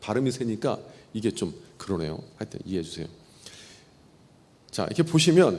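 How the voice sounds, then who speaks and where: With very wide pitch swings and long, frequent pauses, a man talks at a fairly quick pace in a medium pitch. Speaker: pastor. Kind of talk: Bible teaching lecture. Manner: conversational, informal.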